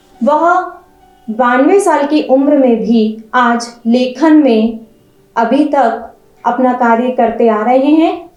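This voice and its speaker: Music plays in the background as a woman talks at a high pitch with ordinary pitch variation. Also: very even loudness. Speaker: interviewer, news editor. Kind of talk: interview introduction.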